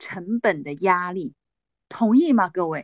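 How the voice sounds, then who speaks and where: Speaking at a fairly slow pace, a woman uses very wide pitch swings, captured with a dry, close sound and no echo. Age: 40s. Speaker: direct-sales business leader and motivational speaker. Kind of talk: sales pitch. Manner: animated.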